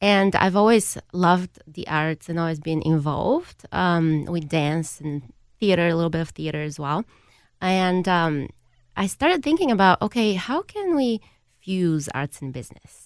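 A woman with a Bulgarian accent, at a moderate pace with ordinary pitch variation, on a very clean recording with a silent background. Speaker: improv company executive. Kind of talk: radio panel discussion.

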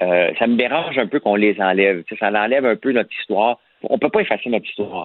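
A man with a strong Quebec accent talks at a very fast pace, his medium-pitched voice moving with ordinary pitch variation. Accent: strong Québécois French. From rural Quebec. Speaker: columnist. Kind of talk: casual chat.

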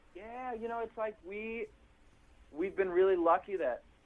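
A man with an Upper Midwest accent talks at a moderate pace. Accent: Upper Midwest American. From Milwaukee, Wisconsin. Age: 20s. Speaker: funk band musician. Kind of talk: interview.

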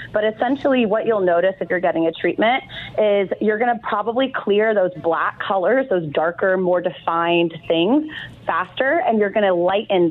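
Her intonation lively, a woman talks at a medium pitch. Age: 30s. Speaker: laser educator. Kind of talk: interview. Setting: phone call. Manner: fast.

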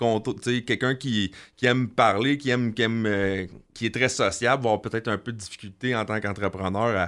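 A man with a Quebec accent speaks at a moderate pace and medium pitch, his intonation fairly even, on a very clean recording with a silent background. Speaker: construction business owner. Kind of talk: interview. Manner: hesitant, many fillers and repetitions.

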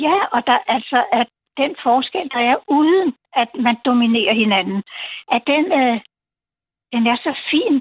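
At a very slow pace, a high-pitched woman speaks with lively intonation, very even loudness and long, frequent pauses. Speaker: caller. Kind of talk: call-in radio chat. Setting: phone call. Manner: halting.

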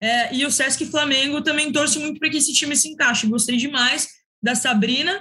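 A woman with a high, bright, sharp voice speaks at a fairly quick pace in a raised, projected voice with ordinary pitch variation. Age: young. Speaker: sports commentator. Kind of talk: casual chat. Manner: formal.

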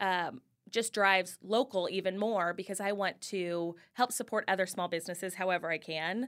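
In a very clean recording with a silent background, a woman with an unremarkable speaking voice talks at a moderate pace and medium pitch, with ordinary pitch variation. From Kansas City, Missouri. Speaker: influencer. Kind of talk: casual interview.

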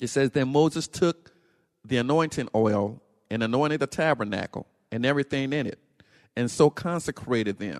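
Dry, close sound with no echo, a quiet background, ordinary pitch variation, and a moderate pace. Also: man, medium pitch for a man. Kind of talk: religious teaching lecture. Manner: halting, with frequent 'uh' fillers and restarts.

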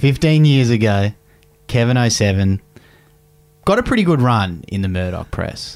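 A man with an Australian accent speaks at a fairly slow pace with lively intonation. Long, frequent pauses break up his speech as music plays in the background. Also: medium pitch for a man. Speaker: podcast co-host. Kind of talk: casual chat.

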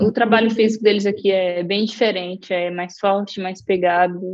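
A woman talks in a normal speaking voice at a medium pitch. Her intonation stays fairly even and her pace is moderate. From Brazil, Maranhão (Caxias). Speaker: professional footballer. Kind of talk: interview.

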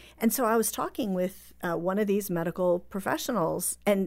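A normal speaking voice at a fairly quick pace with ordinary pitch variation, in a very clean recording with a silent background. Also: woman. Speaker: author and researcher. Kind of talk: radio interview.

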